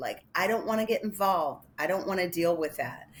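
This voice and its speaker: Over noticeable background noise, a woman with a Chicago accent speaks with lively intonation. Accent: Chicago accent, slightly nasal. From Chicago area, US Midwest. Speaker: animal welfare advocacy director. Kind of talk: interview.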